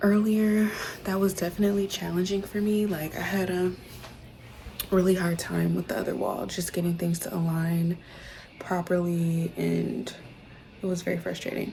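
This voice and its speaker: Long, frequent pauses mark a woman's medium-pitched speech over noticeable background noise. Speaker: home renovation vlogger. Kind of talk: casual vlog narration. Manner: casual with many fillers.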